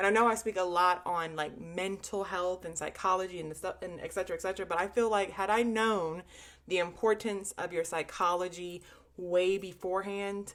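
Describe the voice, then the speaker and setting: The pace of this woman's speech is fairly quick. She talks at a medium pitch. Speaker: trading vlogger. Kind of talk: casual vlog monologue. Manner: animated.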